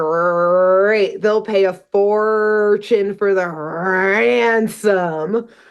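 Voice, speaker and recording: Putting on a growling character voice, a woman speaks at a very slow pace with hardly any pauses, her pitch medium. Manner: growling, menacing.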